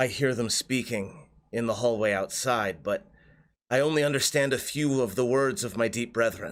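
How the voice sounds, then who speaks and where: His pitch is medium. The man is doing a put-on character voice. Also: moderate pace, very clean recording, silent background. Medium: actual play. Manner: measured, hesitant.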